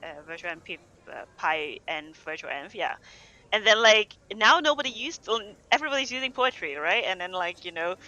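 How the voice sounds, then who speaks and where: This speaker talks at a moderate pace. The words come in a non-native accent. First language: not English. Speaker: developer advocate. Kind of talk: casual chat. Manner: halting.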